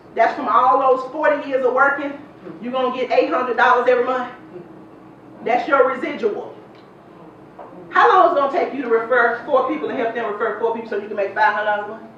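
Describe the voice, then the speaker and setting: In a Memphis accent, a woman with a high voice talks at a very fast pace with big swings in loudness and long, frequent pauses, amid audible room echo and noticeable background noise. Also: ordinary pitch variation. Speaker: sales presenter. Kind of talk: sales pitch. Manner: animated.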